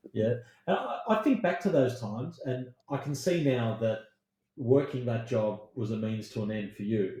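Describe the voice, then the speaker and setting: With an Australian accent, a man talks at a moderate pace in a dark, mellow, somewhat breathy tone at medium pitch with ordinary pitch variation. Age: 70s. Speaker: former science industry agent. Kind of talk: casual chat.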